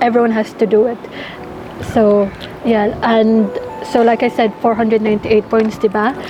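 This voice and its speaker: A woman with a fairly high-pitched voice speaks at a moderate pace in a monotone, flat intonation, leaving long, frequent pauses. Music plays behind her. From Ireland. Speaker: nursing student. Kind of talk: interview; vlog narration. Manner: code-switching Taglish.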